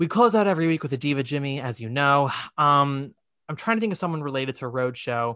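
Speaking at a very fast pace, a man with a fairly high pitch uses lively intonation and a bright, sharp tone. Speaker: podcast host. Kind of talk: casual chat; reading aloud. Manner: loud.

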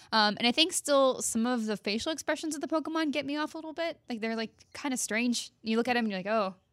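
In a very clean recording with a silent background, a woman speaks with a high pitch at a very fast pace. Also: ordinary pitch variation, hardly any pauses. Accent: American. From Texas. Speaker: video game journalist. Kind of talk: casual chat.

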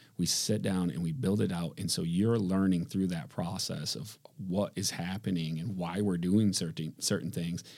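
A man's very deep, low voice with a dark, mellow tone and an Upper Midwest accent, at a moderate pace with ordinary pitch variation and hardly any pauses. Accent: Upper Midwest American. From Michigan, Grand Rapids. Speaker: businessman. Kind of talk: casual interview.

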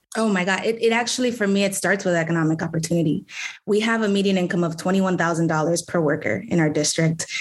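Over noticeable background noise, a woman with an American accent talks at a very fast pace, her fairly low pitch showing ordinary variation and her loudness very even. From New York City, the Bronx. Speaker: city council member. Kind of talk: political interview.

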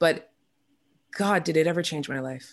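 A woman's fairly low voice with a Canadian accent at a moderate pace, in a very clean recording with a silent background. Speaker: musician and radio host. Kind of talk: casual interview.

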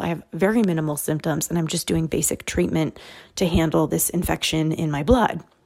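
Soft-spoken, a woman with a fairly low pitch and a dark, mellow tone talks at a moderate pace with ordinary pitch variation. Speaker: podcast host and author. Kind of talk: solo monologue. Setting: home recording.

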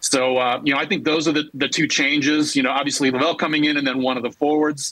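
Fairly high in pitch, a man talks at a fairly quick pace with a bright, sharp tone. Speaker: soccer reporter. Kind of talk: interview. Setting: remote call. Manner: halting.

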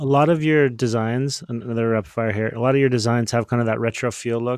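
A man with a plain, everyday voice speaks at a fairly quick pace and medium pitch. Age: 40s. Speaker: podcast host, sports team CEO. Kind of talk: interview hosting. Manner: upbeat.

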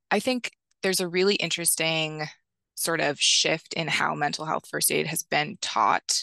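Against a quiet background, a woman with a bright, sharp tone and vocal fry speaks at a moderate pace in a fairly low pitch with ordinary pitch variation, the sound dry and close with no echo. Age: 20s. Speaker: AmeriCorps member and mental health trainer. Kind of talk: interview conversation.

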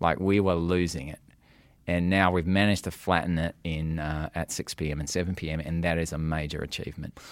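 In an Australian accent, a man with a very deep, low pitch talks monotone and flat at a fairly quick pace, on a very clean recording with a silent background. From Western Australia, Perth. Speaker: news executive. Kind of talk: interview.

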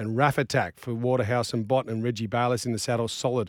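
A man speaks at a very fast pace with an Australian accent. The recording is very clean, with a silent background. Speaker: racing show host. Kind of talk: racing preview chat with tipping and odds rundown. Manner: fast, rattling off prices and stats, casual banter.

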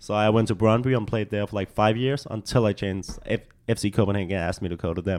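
Rushing at a very fast pace, a man with a Danish accent keeps his intonation fairly even. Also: fairly low pitch for a man. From Denmark. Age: 20s. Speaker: soccer player and model. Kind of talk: casual chat.

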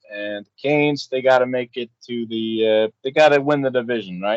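At a moderate pace, a man speaks in an ordinary speaking voice of medium pitch with fairly even intonation. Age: 30s. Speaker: sports betting podcast co-host. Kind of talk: casual chat. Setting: outdoors on a balcony.

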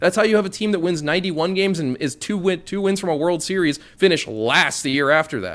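A man talks in an animated tone at a high pitch. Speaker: baseball writer. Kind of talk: casual sports talk. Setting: remote recording from New York. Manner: animated, worked up.

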